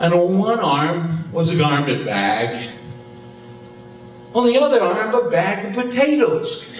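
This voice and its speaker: A man with an American accent talks at a very slow pace in a high pitch, his voice making very wide pitch swings over noticeable background noise. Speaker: storyteller. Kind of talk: live storytelling performance. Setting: theater stage.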